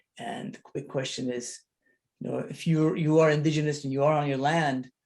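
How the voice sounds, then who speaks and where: A man talks at a moderate pace in a fairly high pitch with ordinary pitch variation. His voice is somewhat breathy. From Lebanon (Armenian community of Beirut). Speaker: photographer/artist. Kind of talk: panel discussion. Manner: halting, many repetitions and fillers.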